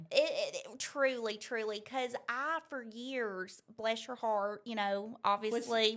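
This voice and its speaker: A woman's fairly high-pitched voice, fairly even in intonation, at a very slow pace. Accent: Southern US. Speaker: interview guest discussing customer service. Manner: halting, repeats words while searching for phrasing.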